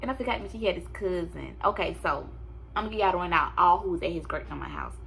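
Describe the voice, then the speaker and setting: Amid audible room echo, a woman speaks at a very fast pace. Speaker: vlogger and teacher. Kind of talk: casual storytime vlog.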